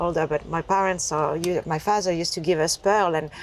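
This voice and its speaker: Speaking with a French accent, a woman keeps a fairly low pitch and fairly even intonation. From France. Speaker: entrepreneur. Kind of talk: interview conversation. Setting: inside a taxi.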